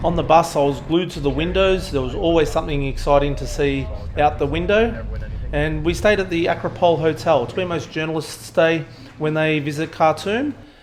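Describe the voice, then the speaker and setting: With music in the background, a man with an Australian accent speaks at a fairly quick pace in a fairly high pitch with ordinary pitch variation. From rural Australia. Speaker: travel vlogger, aviation meteorologist. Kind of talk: travel vlog voiceover.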